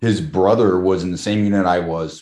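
Over a quiet background, someone with an American accent talks at a moderate pace with fairly even intonation. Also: man. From South Carolina, Charleston. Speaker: military veteran. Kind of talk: interview. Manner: halting.

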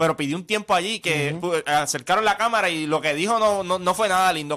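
Using a raised, projected voice with a bright, sharp tone, a man with a high pitch and ordinary pitch variation talks at a very fast pace. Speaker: sports radio co-host. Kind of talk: casual sports banter.

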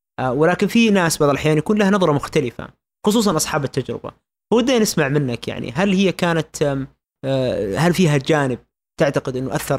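A man speaks in a normal speaking voice, fairly high in pitch, at a fairly quick pace with lively intonation, in a very clean recording with a silent background and a dry, close sound with no echo. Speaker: radio host. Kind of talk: interview.

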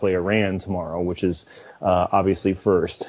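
A man speaks with a Chicago accent. His pace is moderate. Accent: American (Chicago). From Chicago, US. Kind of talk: casual chat.

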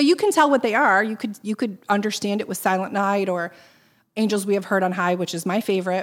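A woman talks very fast at a medium pitch with ordinary pitch variation. The recording is very clean, with a silent background. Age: 40s. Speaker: nonprofit fundraiser. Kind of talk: casual interview.

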